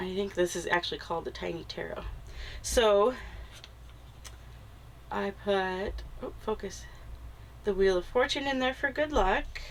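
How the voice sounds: A nasal, medium-pitched woman's voice with ordinary pitch variation and long, frequent pauses. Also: fairly slow pace.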